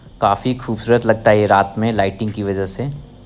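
A man speaks with music in the background. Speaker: travel vlogger. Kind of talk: casual vlog chat. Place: waterside. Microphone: phone near.

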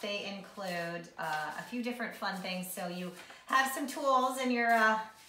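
Speaking at a fairly slow pace, a woman is heard with audible room echo and light background noise. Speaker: wine tasting vlogger. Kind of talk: casual vlog chat. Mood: cheerful, relaxed. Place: home room. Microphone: camera far.

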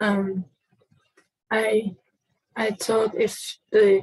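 Speaking at a very slow pace, a woman sounds somewhat breathy. The sound is dry with no echo, and the background is quiet. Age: 20s. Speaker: person seeking personality typing. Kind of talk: personal testimony. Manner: halting, many fillers. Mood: quiet, hesitant, reflective. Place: home room. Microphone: webcam.

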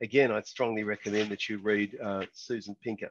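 A man speaks at a moderate pace in a fairly low pitch with an Australian accent, his voice dry with no echo against a quiet background. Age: 60s. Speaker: business founder and team development consultant. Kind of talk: lecture.

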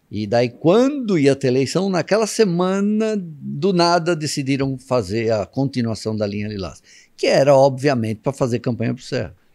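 A man with a fairly high pitch speaks at a moderate pace with hardly any pauses, his dark, mellow tone rising and falling in very wide pitch swings against a quiet background. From Brazil, São Paulo metro area (São Caetano); São Paulo, Brazil. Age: 60s. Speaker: journalist. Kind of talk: casual interview chat. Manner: animated. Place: studio. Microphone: studio mic.

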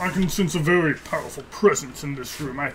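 Over clear background noise, a man uses a put-on character voice at a fairly high pitch and a fairly quick pace. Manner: generic, solemn.

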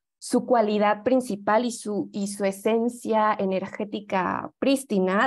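Speaking at a very slow pace, a woman of medium pitch keeps fairly even intonation with hardly any pauses. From Mexico. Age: young. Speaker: yoga teacher and holistic health advisor. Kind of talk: lecture. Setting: video call.

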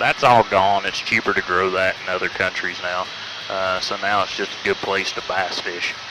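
The sound is dry with no echo, though noticeable background noise is present. A man talks at a moderate pace. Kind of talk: tour guide commentary. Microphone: headset.

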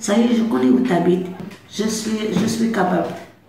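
A woman's voice at a moderate pace with lively intonation, plus audible room echo and light background noise. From Algeria. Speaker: migrant learning French. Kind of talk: testimony. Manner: halting, with repetitions and hesitations. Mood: warm, proud. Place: classroom. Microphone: camera far.

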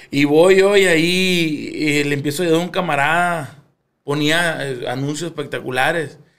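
With audible room echo, a man with a fairly high pitch talks at a fairly slow pace and with fairly even intonation. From Culiacán, Sinaloa, Mexico. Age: 30s. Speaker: musician. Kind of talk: casual chat.

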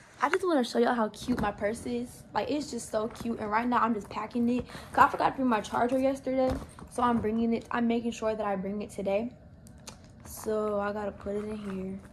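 With noticeable background noise, someone talks at a fairly quick pace in fairly even intonation. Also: woman. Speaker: student vlogger. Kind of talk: casual vlog chat. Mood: relaxed, chatty. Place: kitchen. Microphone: phone near.

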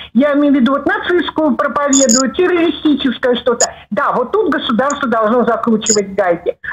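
With lively intonation and hardly any pauses, a woman talks in a high pitch at a moderate pace over light background noise. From Russia. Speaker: caller. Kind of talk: call-in comment. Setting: phone call. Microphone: video call.

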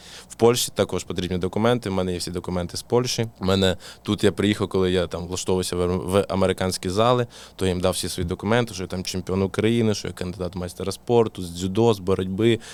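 Speaking at a very fast pace, a man with a Russian accent has a very deep, low voice. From southern Ukraine, Mykolaiv. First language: Russian (speaking Ukrainian). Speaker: boxing coach. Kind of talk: casual interview.

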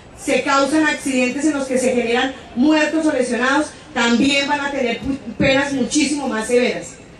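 A woman with a high pitch and fairly even intonation speaks at a fairly slow pace, with audible room echo and light background noise. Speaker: speaker. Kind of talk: public speech. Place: stage.

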